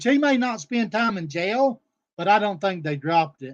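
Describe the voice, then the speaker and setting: A man speaks loudly at a moderate pace with lively intonation. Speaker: streamer. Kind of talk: livestream rant. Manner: animated.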